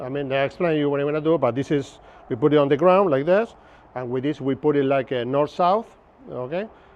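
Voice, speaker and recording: A man with a strong Argentine accent talks at a very fast pace in a fairly high pitch, with ordinary pitch variation. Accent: Argentinian Spanish accent, strong. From Argentina, Buenos Aires. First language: Spanish. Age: 50s. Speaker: navigation instructor. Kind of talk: lecture. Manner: casual, conversational.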